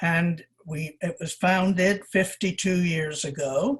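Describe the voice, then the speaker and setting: Her pitch sits fairly low for a woman, somewhat breathy, with ordinary rise and fall. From England. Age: 80s+. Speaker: shop owner. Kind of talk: oral history interview. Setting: video call.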